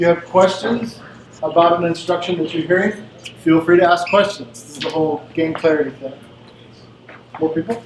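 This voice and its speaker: High-pitched male speech, with noticeable noise in the background. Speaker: presenter leading team games. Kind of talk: interactive workshop presentation. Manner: loud.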